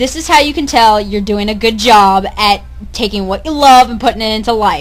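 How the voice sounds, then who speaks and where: Over noticeable background noise, a woman speaks at a moderate pace with lively intonation and a fairly high pitch. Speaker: podcast co-host, call center worker. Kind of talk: casual chat. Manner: loud.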